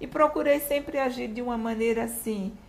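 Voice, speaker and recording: Noticeable background noise beneath speech at a moderate speed with ordinary pitch variation. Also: woman. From Brazil, Recife (Pernambuco). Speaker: retired public prosecutor. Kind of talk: interview.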